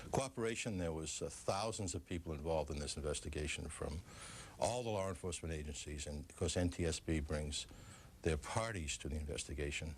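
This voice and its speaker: This man has a very deep, low voice with ordinary pitch variation and an American accent. He talks at a fairly quick pace and sounds somewhat breathy. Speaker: former FBI official. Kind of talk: TV interview.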